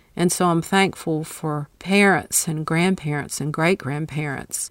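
Speaking at a fairly slow pace with a Southern US accent, a woman has a very deep, low pitch and fairly even intonation, in a very clean recording with a silent background. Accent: gorgeous Southern US. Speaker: author, speaker and caregiver. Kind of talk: interview.

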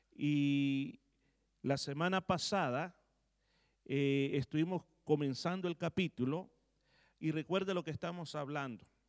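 The speech comes at a fairly slow pace with ordinary pitch variation, in a dry, close sound with no echo. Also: man. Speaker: pastor. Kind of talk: sermon. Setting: church.

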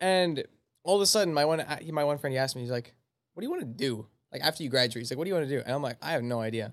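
A man speaks at a very fast pace and a fairly high pitch. His intonation is lively. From Canada, Manitoba. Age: 20s. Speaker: personal trainer. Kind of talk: casual chat.

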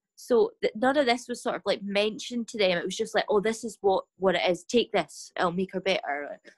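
Lively in intonation, a woman with a Scottish Highlands and Islands accent speaks at a fairly quick pace and fairly high pitch, with a dry, close sound and no echo. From Scotland, west coast island. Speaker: mental health advocate. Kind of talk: casual chat. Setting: podcast interview.

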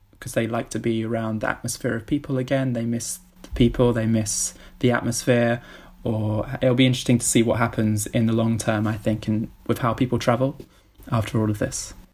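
At a fairly quick pace, a man talks in a somewhat breathy, medium-pitched voice with monotone, flat intonation. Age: 20s. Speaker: travel enthusiast. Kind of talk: casual chat.

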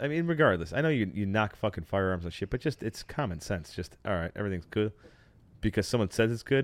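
Lively in intonation, a man speaks at a very fast pace with a fairly low pitch. The recording is very clean, with a silent background. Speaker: podcast host. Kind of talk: casual banter, crude comedy chat. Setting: studio. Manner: joking, fast, irreverent.

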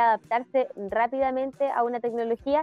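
With music in the background, a high-voiced woman speaks at a moderate pace in a Chilean accent. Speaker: podcast co-host. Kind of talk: casual chat. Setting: live stream. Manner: loud.

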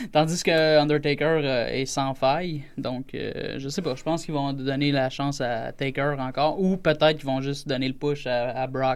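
A man's ordinary speaking voice, fairly high in pitch, at a moderate pace with fairly even intonation. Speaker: radio guest telling a personal story. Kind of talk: casual chat. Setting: studio.

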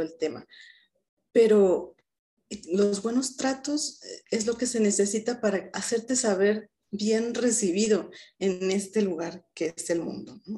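A very slow woman's voice, medium in pitch and dark, mellow in tone, against a quiet background. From Mexico, Mérida, Yucatán. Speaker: psychologist. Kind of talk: interview conversation.

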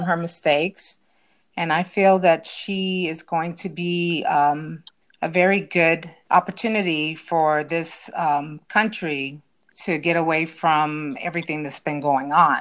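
A woman's ordinary speaking voice, fairly low in pitch, with fairly even intonation at a fairly slow pace, on a very clean recording with a silent background. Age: 50s. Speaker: family member guest. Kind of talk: casual panel discussion.

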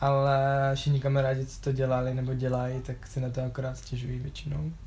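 Monotone and flat, a man's dark, mellow, somewhat breathy voice carries audible room echo. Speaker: university student. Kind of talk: casual interview.

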